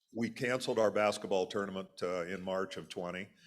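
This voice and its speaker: A man's fairly low voice, with ordinary pitch variation, comes through a very clean recording over a silent background. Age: 60s. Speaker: college athletics conference executive. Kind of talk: speech to a club luncheon. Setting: room with audience. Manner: halting, many fillers.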